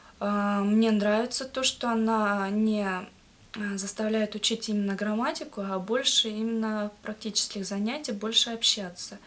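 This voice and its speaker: This woman talks very slowly, her voice pitched fairly high. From Kazakhstan, Akmola region. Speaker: language learner, student. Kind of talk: interview. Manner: halting, many hesitations.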